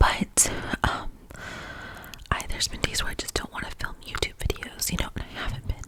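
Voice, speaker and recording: Noticeable background noise surrounds the speaker. A woman whispers at a moderate pace. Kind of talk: ASMR whisper ramble to camera. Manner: whispered, soft, intimate.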